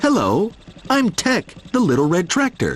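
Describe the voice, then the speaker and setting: A man's put-on character voice, high in pitch, with very wide pitch swings and a moderate pace. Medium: read story. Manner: eager.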